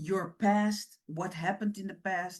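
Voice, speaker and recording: Medium-pitched woman's voice with fairly even intonation. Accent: Dutch. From Netherlands, Surinamese-born. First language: Dutch. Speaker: women's ministry leader. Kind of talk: motivational talk.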